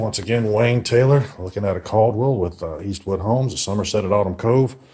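Against a quiet background, a man talks at a very fast pace, his fairly low pitch showing ordinary pitch variation. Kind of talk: casual home tour commentary. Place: empty room. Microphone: phone near.

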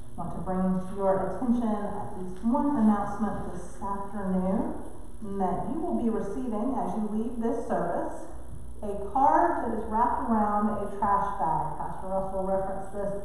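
Over light background noise, a woman talks at a moderate pace with ordinary pitch variation, and strong room echo surrounds her voice. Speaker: pastor. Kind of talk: church announcement. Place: church. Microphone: podium.

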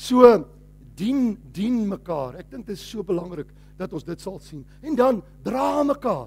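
This man's tone is animated. Very wide swings run through his pitch. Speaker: pastor. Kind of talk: sermon.

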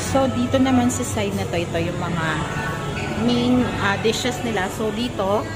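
Loud music plays in the background as a woman speaks at a very slow pace. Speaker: vlogger. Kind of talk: casual vlog chat, food tour. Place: cafe. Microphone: phone near.

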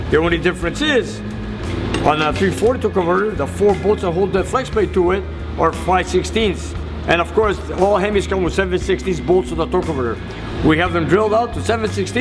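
A man talks very fast while music plays behind him. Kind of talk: tutorial. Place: garage.

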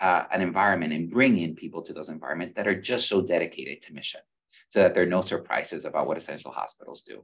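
A man speaks in a very deep, low voice against a quiet background. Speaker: medical school dean. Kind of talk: panel discussion. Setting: video call. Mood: thoughtful, earnest. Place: office. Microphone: video call.

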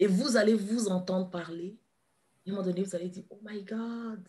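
A woman's voice against a quiet background. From Ivory Coast. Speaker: kinesiologist and therapist; guest. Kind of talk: interview. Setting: live video stream. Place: home room. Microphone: video call.

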